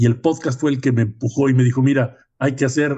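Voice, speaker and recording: Monotone and flat, the somewhat breathy voice has a dark, mellow tone. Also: man. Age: 70s. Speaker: podcast host. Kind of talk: podcast interview.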